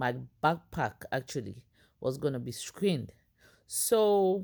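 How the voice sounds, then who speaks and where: A woman speaks at a very slow pace in a very deep, low pitch. Her pitch swings very widely, and the recording is very clean with a silent background. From Ghana. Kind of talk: personal storytelling to camera. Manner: casual, hesitant.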